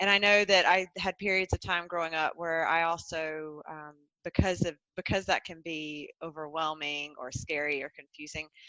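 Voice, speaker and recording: A woman's bright, sharp voice with fairly even intonation and big swings in loudness, dry and close with no echo. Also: fairly low pitch for a woman, moderate pace. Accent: Southern US. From US South, North Carolina. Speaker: transformational coach. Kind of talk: podcast interview.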